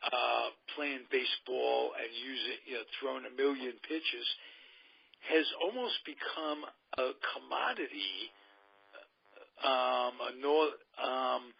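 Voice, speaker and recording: With a New York accent, a man talks at a very slow pace, leaving long, frequent pauses and showing big swings in loudness. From New York City, Queens. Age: 70s. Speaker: radio host. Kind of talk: casual chat.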